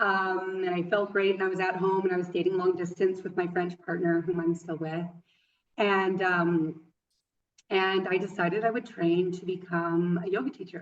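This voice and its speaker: A woman in a western Canadian accent with monotone, flat intonation. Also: medium pitch for a woman, moderate pace. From western Canada. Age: 30s. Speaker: yoga teacher. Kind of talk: interview. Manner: halting, many fillers.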